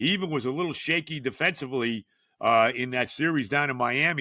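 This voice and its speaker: With a New York accent, this man speaks at a medium pitch with ordinary pitch variation and a bright, sharp tone. The sound is dry and close with no echo, on a very clean recording with a silent background. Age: 70s. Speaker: sports podcast host. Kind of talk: solo sports talk monologue. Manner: casual, conversational with many fillers.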